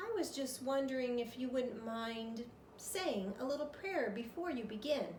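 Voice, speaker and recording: A squeaky, put-on character voice moves at a moderate pace. Clear background noise runs underneath. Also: woman, high pitch for a woman. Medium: read story. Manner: overly polite, wordy.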